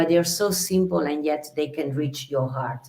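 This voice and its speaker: This woman talks at a moderate pace. She has an Italian accent. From Italy, Venice. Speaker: singer. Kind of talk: interview. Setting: video call from her bedroom.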